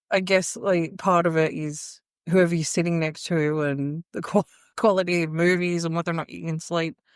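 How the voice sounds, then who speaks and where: A woman with an Australian accent and a fairly low pitch, at a moderate pace and with fairly even intonation, on a very clean recording with a silent background. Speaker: podcast co-host. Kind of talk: casual chat. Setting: in person at an Airbnb living room.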